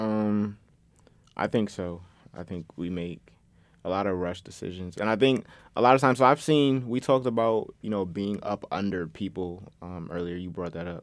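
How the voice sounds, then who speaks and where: A plain, everyday voice from a man, fairly low in pitch with ordinary pitch variation and big swings in loudness, at a moderate pace on a very clean recording with a silent background. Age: 20s. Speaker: podcast host, college student. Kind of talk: casual chat. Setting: studio.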